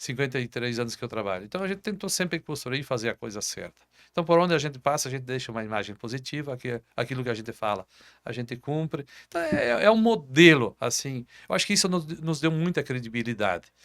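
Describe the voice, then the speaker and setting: A man talks at a very fast pace with lively intonation and a medium pitch. The recording is very clean and the background silent. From southern Brazil. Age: 60s. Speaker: business owner. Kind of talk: interview. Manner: halting, repeats words.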